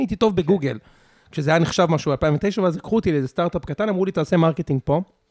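The pitch varies in an ordinary way, and the sound is dry and close with no echo. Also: man. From Israel, Savyon and Ramat Gan. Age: 30s. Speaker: podcaster and tech marketer. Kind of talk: casual chat. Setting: dinner at a loft.

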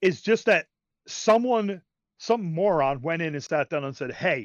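The voice is loud and animated, with very wide pitch swings. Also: man. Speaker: podcast co-host discussing video games. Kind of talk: casual chat. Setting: voice chat on Discord.

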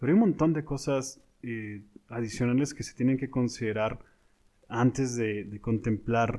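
A dark, mellow male voice at medium pitch, moving at a fairly slow pace. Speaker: podcast co-host, industry professional. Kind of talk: casual chat.

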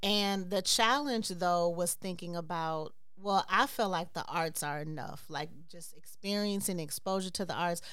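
In a room with audible echo, a woman with a fairly low voice speaks at a moderate pace using ordinary pitch variation. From Chicago, US Midwest. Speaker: dance company director and choreographer. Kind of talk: casual interview.

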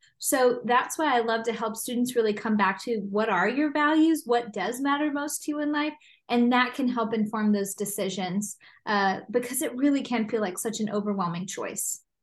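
With an American accent and a plain, everyday voice, a woman speaks at a moderate pace and fairly high pitch, showing ordinary pitch variation against a quiet background. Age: 30s. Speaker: psychologist. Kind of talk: interview.

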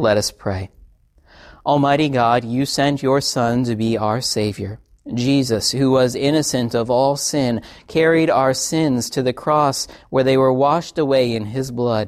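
A man with an unremarkable speaking voice and medium pitch talks at a fairly slow pace with fairly even intonation, on a very clean recording with a silent background. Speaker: pastor. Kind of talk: liturgical prayer and absolution, service. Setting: church. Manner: solemn, reverent; fervent, earnest prayer.

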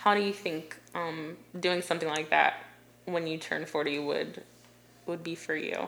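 A woman with a fairly low pitch speaks fairly slowly in a monotone, flat intonation over noticeable background noise. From Ohio, US (Delaware, near Columbus). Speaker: portrait photographer. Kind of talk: podcast interview.

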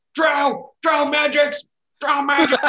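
Someone shouts in a put-on character voice at a high pitch. The intonation stays monotone and flat. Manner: barking, shouting in alarm.

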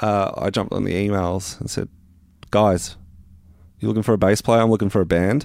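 A man with an Australian accent, fairly low pitch, and moderate pace, on a very clean recording with a silent background. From Melbourne western suburbs, Australia. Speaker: rock bass player. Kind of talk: casual interview chat. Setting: home studio.

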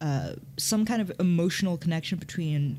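A woman's somewhat breathy voice, fairly low in pitch. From Hong Kong. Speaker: podcast co-host. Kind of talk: casual chat.

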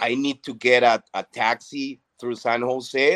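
In a Spanish accent, a man speaks at a very slow pace, with a dry, close sound and no echo. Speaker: psychologist sharing recovery story. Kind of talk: testimony. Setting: video call.

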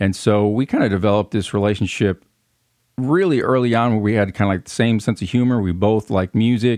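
With an American accent and a plain, everyday voice, this man talks at a fairly quick pace and a fairly low pitch, his intonation fairly even against a quiet background. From US Midwest. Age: 40s. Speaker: music podcast co-host. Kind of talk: casual interview chat.

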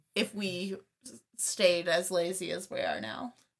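With vocal fry, a woman speaks at a fairly slow pace in a medium pitch, with ordinary pitch variation. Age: 20s. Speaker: podcast co-host. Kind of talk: casual chat. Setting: home recording, separate rooms.

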